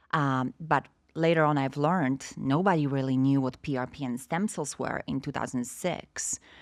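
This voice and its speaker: Speaking in a Polish accent, a woman with a very deep, low pitch talks at a moderate pace with ordinary pitch variation in a very clean recording with a silent background. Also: hardly any pauses. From Poland. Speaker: stem cell industry representative. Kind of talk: podcast interview.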